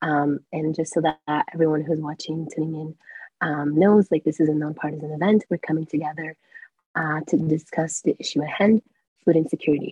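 Fairly quick, somewhat breathy speech with fairly even intonation. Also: woman, very deep, low pitch for a woman. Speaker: student panel moderator. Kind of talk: panel moderation.

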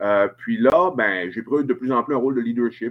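At a moderate pace, a man talks with a strong Saguenay-Lac-Saint-Jean accent. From Quebec, Saguenay-Lac-Saint-Jean (Chicoutimi). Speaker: family doctor. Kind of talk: casual interview. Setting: hotel room, remote video call.

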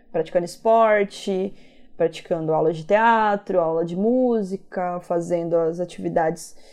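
Music plays in the background while a woman speaks. She talks at a fairly slow pace with ordinary pitch variation. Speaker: exchange student. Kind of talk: interview testimony.

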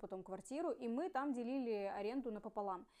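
A woman with a normal speaking voice talks at a fairly quick pace, her fairly high pitch carrying lively intonation. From Russian Far East, Ussuriysk. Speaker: podcast co-host. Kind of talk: casual chat.

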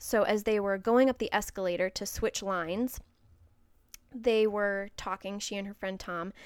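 The voice has a northern US accent and monotone, flat intonation at a fairly slow pace. The recording is very clean, with a silent background. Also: woman. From Wisconsin, US Midwest. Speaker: podcast host.

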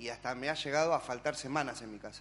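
This man has an ordinary speaking voice. His pitch is fairly high and his intonation fairly even. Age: 30s. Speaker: church member. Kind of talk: testimony.

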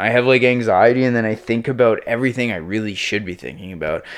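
A man with an unremarkable speaking voice, medium pitch, and a fairly quick pace. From Prince Edward Island, Canada. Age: 30s. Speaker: music producer and DJ. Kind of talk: casual chat. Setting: home studio.

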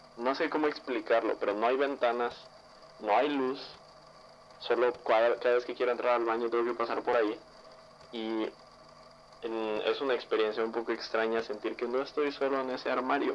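A man speaks at a moderate pace in a medium pitch with monotone, flat intonation. Long, frequent pauses break up his speech. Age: young. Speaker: listener sharing paranormal story. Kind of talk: testimony.

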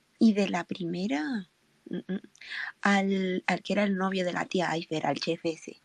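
With a Spanish accent, a woman speaks at a fairly low pitch with ordinary pitch variation. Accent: Spanish from Spain. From Spain. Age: 20s. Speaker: fan, engineering graduate. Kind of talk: casual group chat.

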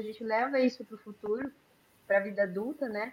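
With an unremarkable speaking voice, a woman talks at a fairly high pitch with ordinary pitch variation. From Brazil, Campo Grande. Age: 30s. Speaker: nutrition student, guest on faith talk show. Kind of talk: casual chat.

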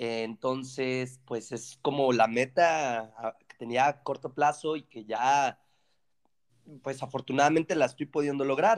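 Very slow in pace, a man with a Mexican accent speaks at a medium pitch with ordinary pitch variation and big swings in loudness, recorded dry and close with no echo. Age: 20s. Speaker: engineering student. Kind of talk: casual chat.

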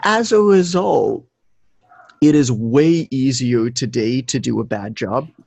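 A man with a Canadian accent, medium pitch, very wide pitch swings and a very slow pace. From Canada, Toronto. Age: 30s. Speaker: fitness business educator, former personal trainer. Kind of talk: interview.

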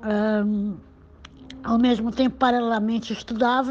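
Monotone and flat, a woman's fairly high-pitched voice with a dark, mellow tone moves at a moderate pace. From Brazil, Santos (São Paulo coast). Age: 60s. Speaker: retired journalist. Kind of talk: interview testimony. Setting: phone call.

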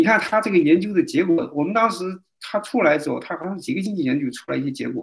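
A man at a very fast pace, high in pitch, with lively intonation. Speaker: doctor. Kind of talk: casual chat. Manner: halting.

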